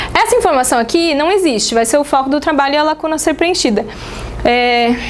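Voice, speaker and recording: Noticeable background noise and audible room echo surround a woman's high voice. She uses lively intonation while keeping her loudness very even. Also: fairly quick pace. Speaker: teacher. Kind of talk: lecture. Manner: fast.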